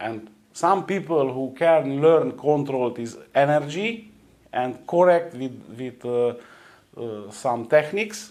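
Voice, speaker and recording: Speaking very slowly with a Romanian accent, a man uses a fairly high pitch, lively intonation and big shifts in volume. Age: 40s. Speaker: energy healer. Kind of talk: interview. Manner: halting, many hesitations.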